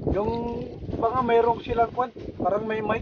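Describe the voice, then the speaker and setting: A man's high voice is heard through noticeable background noise. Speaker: fishing vlogger. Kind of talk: casual vlog talk. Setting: outdoors on a boat at sea.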